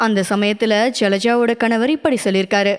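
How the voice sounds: A woman with a clear, smooth tone and fairly high pitch speaks at a moderate pace using fairly even intonation.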